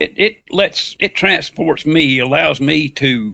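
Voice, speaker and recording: Bright, sharp tone from a man with a Southern US accent, fairly high pitch, and ordinary pitch variation. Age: 60s. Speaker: fiction writer. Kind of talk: interview.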